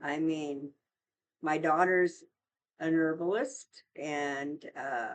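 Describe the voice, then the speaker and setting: This woman's voice is very deep and low. Her intonation remains fairly even. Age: 70s. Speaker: vlogger. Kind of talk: casual chat. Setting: home studio. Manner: halting.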